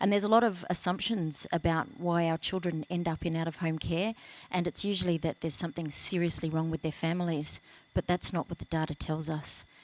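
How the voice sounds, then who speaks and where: Over a very clean recording with a silent background, a woman with an Australian accent speaks at a very fast pace and a fairly low pitch. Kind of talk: panel discussion. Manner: hesitant with many fillers.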